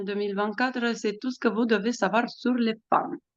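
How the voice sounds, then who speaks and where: A woman with a fairly high pitch and a Romanian accent. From Romania, Bucharest. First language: Romanian (speaking French). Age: 40s. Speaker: astrologer and author. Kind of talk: podcast interview. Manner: hesitant, many fillers.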